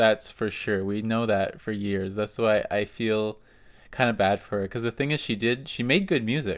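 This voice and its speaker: Recorded very cleanly with a silent background, a man of medium pitch uses an ordinary speaking voice at a moderate pace. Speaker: podcast co-host. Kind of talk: casual chat.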